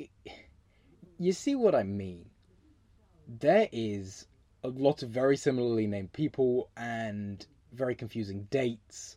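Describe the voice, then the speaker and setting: Delivery comes at a fairly slow pace with long, frequent pauses. The speaker has a southern English accent. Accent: English (southern England). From England. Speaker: history podcast host. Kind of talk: solo storytelling podcast. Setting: home recording, windows closed. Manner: animated.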